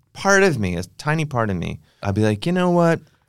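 A man speaks with an American accent and very wide pitch swings. The recording is very clean, with a silent background. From Cleveland, Ohio (east side). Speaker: comedian. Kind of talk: casual chat. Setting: studio.

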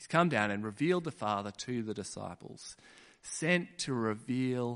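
Big swings in loudness mark this voice with an Australian accent. The pace is fairly slow. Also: man. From Western Australia (Kununurra). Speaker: preacher. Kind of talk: sermon.

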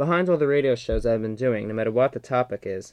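A man at medium pitch talks at a fairly quick pace in a normal speaking voice. The sound is dry and close, with no echo. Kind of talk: archival radio interview, commentary. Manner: earnest, conversational, probing.

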